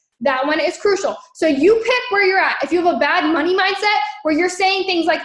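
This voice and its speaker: At a moderate pace, a woman speaks in an animated tone with ordinary pitch variation. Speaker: network marketing trainer. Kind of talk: training livestream.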